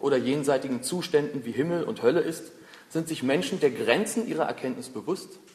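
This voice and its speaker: A man's fairly high voice moves at a moderate pace while noticeable background noise carries on behind him. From Berlin, Germany. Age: 20s. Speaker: humanist foundation spokesman and podcast host. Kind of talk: prepared lecture.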